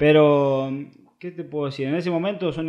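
A man's pitch varies in an ordinary way as he talks at a moderate pace over a quiet background. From Argentina, small town in Córdoba. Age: 20s. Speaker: professional footballer. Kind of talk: casual interview. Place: home room.

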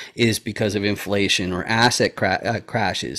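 A man speaks in a normal speaking voice at a moderate pace, his pitch fairly low and his intonation fairly even, over a quiet background. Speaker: interview host. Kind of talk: casual interview explanation. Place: home room. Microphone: webcam.

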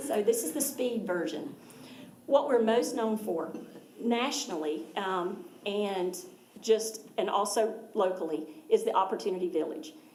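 Noticeable background noise and audible room echo surround a woman with an American accent. She speaks at a fairly high pitch with lively intonation and long, frequent pauses. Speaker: nonprofit charity representative. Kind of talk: presentation to a school board. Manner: fast.

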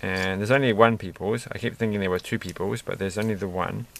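A man speaks at a fairly low pitch with fairly even intonation, his voice dry with no echo over noticeable background noise. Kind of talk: casual build commentary.

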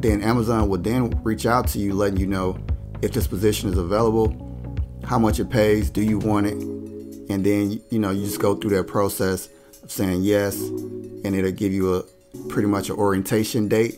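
A man's fairly low voice with ordinary pitch variation at a moderate pace, clear music in the background. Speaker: job advice vlogger. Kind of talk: tutorial. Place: home room. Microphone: studio mic.

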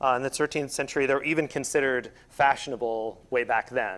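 The speaker is a man at a moderate pace. He uses ordinary pitch variation. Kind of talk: lecture. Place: hall. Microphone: lapel.

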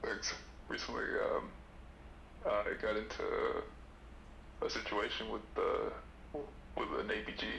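A man at a fairly slow pace with long, frequent pauses, noticeable background noise and audible room echo. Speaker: caller. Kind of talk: casual chat.

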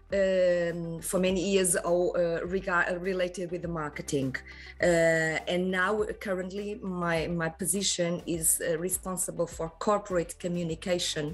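Monotone, flat delivery at a fairly slow pace over faint music in the background. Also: woman, fairly low pitch for a woman. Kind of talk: interview answer. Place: office.

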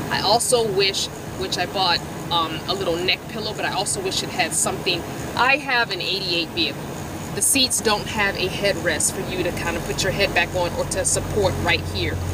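Over loud background noise, a woman talks at a fairly quick pace with ordinary pitch variation, the sound dry with no echo. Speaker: van dweller vlogger. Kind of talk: casual product review. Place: car. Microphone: phone near.

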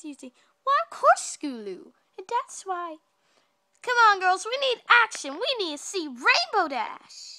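Doing a cartoonish character voice, a woman speaks at an extremely high pitch with very wide pitch swings, a moderate pace and long, frequent pauses. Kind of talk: cartoon fandub acting. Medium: fan dub. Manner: gracious, theatrical, sympathetic.

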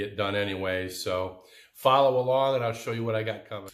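At a moderate pace, a man speaks. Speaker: DIY woodworking channel host. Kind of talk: casual vlog chat. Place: workshop. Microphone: phone near.

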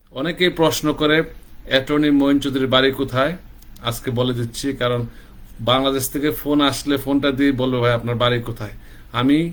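A man speaks with a monotone, flat intonation. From Bangladesh, Sylhet region (Habiganj). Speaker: immigration lawyer. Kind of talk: promotional self-introduction.

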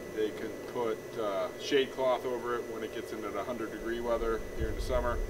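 Noticeable background noise fills the recording. A man speaks at a moderate pace. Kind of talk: tutorial. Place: garden. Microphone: lapel.

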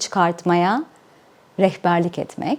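Speaking fairly slowly, a woman has a slight non-native accent. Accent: slight non-native Turkish. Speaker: life coach, YouTuber. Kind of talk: channel introduction.

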